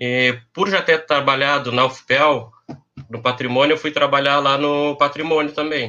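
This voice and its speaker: Speaking fairly slowly in a southern Brazilian accent, a man has a fairly high pitch and fairly even intonation. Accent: gaúcho Brazilian Portuguese. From Pelotas, southern Brazil. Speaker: university administrative staff. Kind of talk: casual chat.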